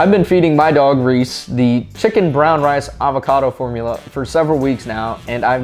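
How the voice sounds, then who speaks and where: Faint music plays in the background. A man talks at a fairly quick pace with ordinary pitch variation. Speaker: pet video host. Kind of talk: informational vlog with sponsor read. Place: home room. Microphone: lapel.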